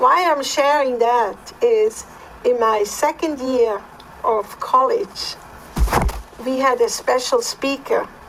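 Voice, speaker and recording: Over noticeable background noise, a woman speaks at a very slow pace in a high pitch, with very wide pitch swings and long, frequent pauses. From Switzerland. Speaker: podcast co-host. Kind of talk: personal testimony.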